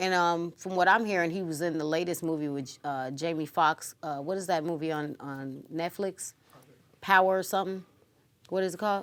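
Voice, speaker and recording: A woman talks in a normal speaking voice at a fairly low pitch. Her pace is moderate and her intonation fairly even. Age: 30s. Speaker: talk show co-host. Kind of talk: casual chat.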